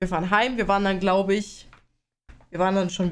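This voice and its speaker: A medium-pitched woman's voice at a very fast pace. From Bavaria. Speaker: podcast co-host. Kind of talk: casual chat.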